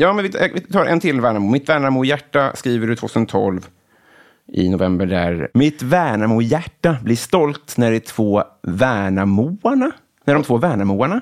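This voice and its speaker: On a very clean recording with a silent background, a man speaks at a moderate pace and medium pitch, his pitch swinging very widely. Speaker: comedian and podcast host. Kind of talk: casual interview chat.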